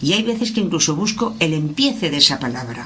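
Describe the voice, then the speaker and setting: A woman speaks at a fairly quick pace with a medium pitch and lively intonation. The room echo is audible, and there is noticeable background noise. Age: 70s. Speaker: workshop participant. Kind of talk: roundtable discussion. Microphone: far from the mic.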